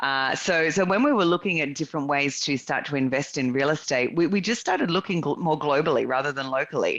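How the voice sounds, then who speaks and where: A woman with an Australian accent and a very deep, low pitch, very fast with hardly any pauses, ordinary pitch variation and very even loudness, against a quiet background. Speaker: real estate investor and consultant. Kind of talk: podcast interview.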